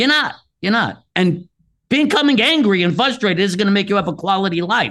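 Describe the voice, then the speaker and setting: A man's high-pitched voice, bright and sharp in tone, passionate and intense, with lively intonation and a fairly quick pace. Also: very even loudness. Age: 60s. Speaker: pain specialist author. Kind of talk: casual interview. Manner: fast talker; passionate, intense.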